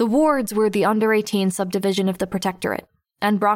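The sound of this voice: This is an unforced reading voice with fairly even intonation. The background is quiet.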